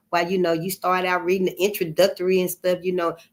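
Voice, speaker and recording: A woman's medium-pitched voice rushes along very fast. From US South. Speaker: channel host reading and discussing history books. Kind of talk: casual commentary and book discussion. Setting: seated, recording for online audience. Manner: animated.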